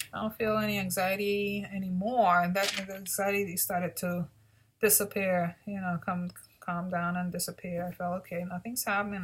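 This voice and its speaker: A woman speaks at a medium pitch in a somewhat breathy voice with monotone, flat intonation. The recording is very clean, with a silent background. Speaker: vlogger reviewing CBD. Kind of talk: personal video diary. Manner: halting, many fillers and repeats.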